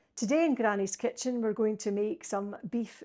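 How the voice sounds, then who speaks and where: On a very clean recording with a silent background, a woman with a Scottish accent speaks at a fairly high pitch with ordinary pitch variation. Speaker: home cook. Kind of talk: cooking demonstration to camera. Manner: casual, homely.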